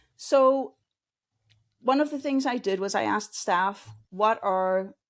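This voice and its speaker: The voice belongs to a woman with a Danish accent and lively intonation. The recording is very clean, with a silent background. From Denmark. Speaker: customer experience consultant. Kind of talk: interview.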